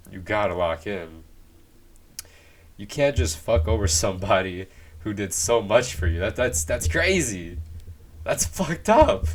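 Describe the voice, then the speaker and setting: A man speaks at a very deep, low pitch, somewhat breathy, with ordinary pitch variation. His delivery is fairly slow, broken by long, frequent pauses. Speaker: movie reviewer. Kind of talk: casual video review monologue. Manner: halting, frequent repetitions and restarts; casual, slangy.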